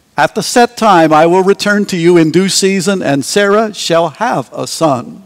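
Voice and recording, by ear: Here the text is read aloud in a natural voice.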